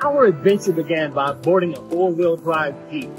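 Over clear music in the background, a man with a high pitch speaks at a moderate pace. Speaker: channel host, interviewer. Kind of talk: travel vlog narration. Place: forest. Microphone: lapel.

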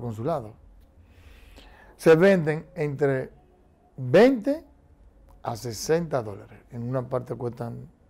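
The tone is dark and mellow, with lively intonation. The pace is fairly slow. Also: man.

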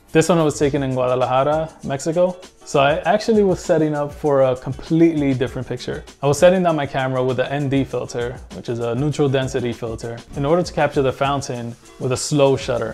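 Talking at a very fast pace with hardly any pauses, a man uses ordinary pitch variation while faint music plays in the background. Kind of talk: casual presentation. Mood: warm, enthusiastic. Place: home room.

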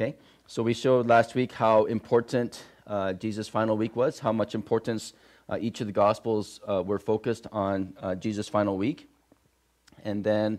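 Against a quiet background, a man speaks at a moderate pace in a monotone, flat intonation, with long, frequent pauses. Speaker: pastor. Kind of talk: sermon. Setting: church. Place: church.

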